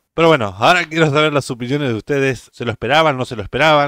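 A man speaks at a medium pitch with a Uruguayan accent. The sound is dry and close, with no echo. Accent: Uruguayan Spanish (rioplatense). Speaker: YouTube reaction creator. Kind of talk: casual reaction commentary.

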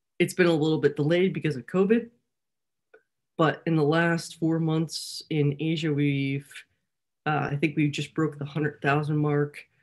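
Over music in the background, a woman with a very deep, low pitch speaks at a moderate pace, leaving long, frequent pauses. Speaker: startup founder presenting. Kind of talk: webinar pitch and Q&A.

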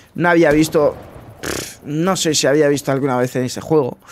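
With a Spanish accent and a fairly high pitch, a man speaks with long, frequent pauses over light background noise. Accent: Peninsular Spanish. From Spain. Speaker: gaming youtuber; gaming streamer. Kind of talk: casual gameplay commentary. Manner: animated.

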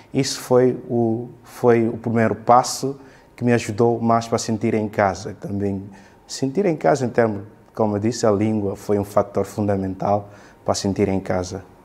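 A man at a fairly low pitch, with fairly even intonation and a moderate pace. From Guinea-Bissau. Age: 20s. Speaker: university student; interviewee. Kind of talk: interview. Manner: halting, many fillers and repetitions. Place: empty room.

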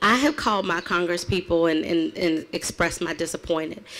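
With an American accent, a woman is talking. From US South. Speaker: city councilwoman and event emcee. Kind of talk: rally speech. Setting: outdoor rally. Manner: animated; conversational, off the cuff. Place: open country. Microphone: podium.

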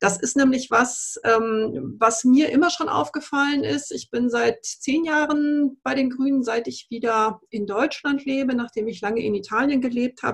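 A woman speaks at a moderate pace in a high voice, with ordinary pitch variation. She hardly pauses, and the background is quiet. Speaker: politician. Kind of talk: panel discussion. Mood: calm, measured. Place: office. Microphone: video call.

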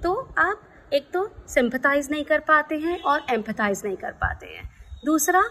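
Her intonation lively, a woman speaks at a fairly slow pace. Music runs in the background. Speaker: speaker. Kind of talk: informative talk to camera. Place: garden. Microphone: phone near.

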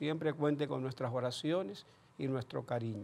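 A man speaks at a fairly slow pace and a medium pitch, with ordinary pitch variation. His slightly mellow tone carries vocal fry.

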